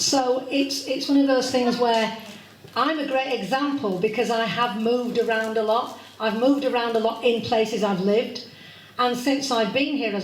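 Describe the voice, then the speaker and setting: A woman's fairly high voice carries audible room echo and noticeable background noise. She speaks at a moderate pace with fairly even intonation. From Yorkshire, Leeds (later Devon). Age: 60s. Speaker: astrology speaker, funeral celebrant. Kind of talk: public talk.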